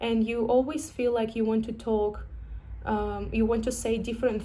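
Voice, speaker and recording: A woman's fairly high, somewhat breathy voice has a dark, mellow tone and monotone, flat intonation. She talks at a moderate pace, with audible room echo. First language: not English. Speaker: vlogger sharing personal experience. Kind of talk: personal vlog, reflective monologue. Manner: halting, with fillers and restarts.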